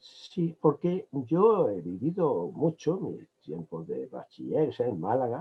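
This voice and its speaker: A man with a fairly high pitch swings his voice up and down very widely. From Andalusia, Córdoba province (Benamejí). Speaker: emeritus law professor. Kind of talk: interview. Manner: hesitant, with fillers.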